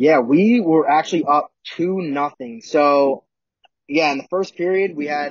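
A man's fairly even intonation, with a dry sound, no echo and a quiet background. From Philadelphia, US. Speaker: college hockey player; guest. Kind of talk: casual chat. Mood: relaxed, smiling storytelling. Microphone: video call.

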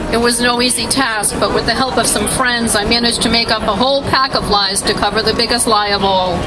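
A woman talks at a fairly quick pace as loud background noise fills the clip. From Tennessee. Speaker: abortion testimony speaker. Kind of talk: testimony. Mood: somber, confessional. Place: street. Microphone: handheld.

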